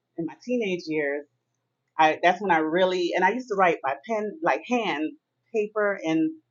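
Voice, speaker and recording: A woman at a medium pitch with a Miami accent, lively intonation and a moderate pace. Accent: American English, Miami. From Miami, Florida (Jamaican parents). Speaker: author. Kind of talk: interview.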